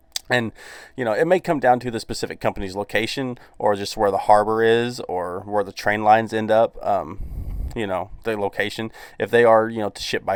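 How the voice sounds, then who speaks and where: A man with a Southern US accent speaks at a moderate pace in a very clean recording with a silent background. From US South. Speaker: gaming YouTuber. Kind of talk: casual video commentary. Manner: casual, filler-heavy.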